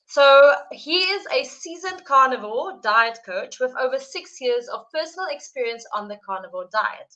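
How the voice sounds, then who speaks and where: A woman with a South African accent uses a raised, projected voice, high in pitch with very wide pitch swings, big swings in loudness and a bright, sharp tone, moving at a moderate pace with hardly any pauses. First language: Afrikaans. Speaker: live stream host. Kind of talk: interview introduction. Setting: live stream.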